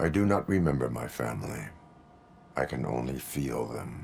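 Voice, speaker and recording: A man does a put-on character voice with a very deep, low pitch. He moves at a moderate pace. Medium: video game. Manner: flat, formal, no contractions.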